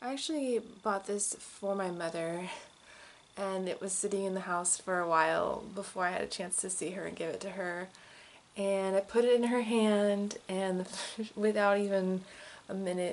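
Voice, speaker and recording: Soft-spoken, a woman talks at a moderate pace and medium pitch with fairly even intonation. Her loudness swings widely, and she takes long, frequent pauses. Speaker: crystal enthusiast host. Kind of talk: casual talk to camera.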